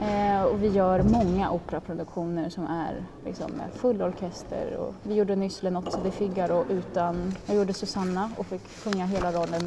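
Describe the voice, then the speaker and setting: Amid noticeable background noise and audible room echo, a woman of medium pitch speaks at a moderate pace with fairly even intonation. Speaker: opera singer and music student. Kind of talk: interview. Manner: halting.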